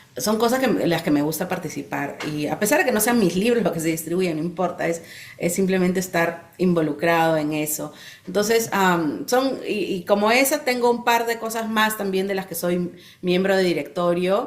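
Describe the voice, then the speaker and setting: A woman speaks with lively intonation, and audible echo fills the room. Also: medium pitch for a woman, moderate pace. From Peru. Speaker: children's book author. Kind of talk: interview.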